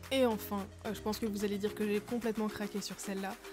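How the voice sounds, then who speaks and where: With music in the background, a woman at medium pitch speaks in a cheerful tone but a monotone, flat intonation. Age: young. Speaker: donkey owner and rider. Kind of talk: casual voice-over product review. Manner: cheerful, chatty.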